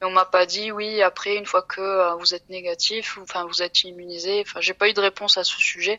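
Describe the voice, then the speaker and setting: A woman talks at a fairly quick pace with hardly any pauses. Her intonation stays monotone and flat. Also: medium pitch for a woman. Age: 20s. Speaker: IT support worker. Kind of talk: interview. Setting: phone call. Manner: halting.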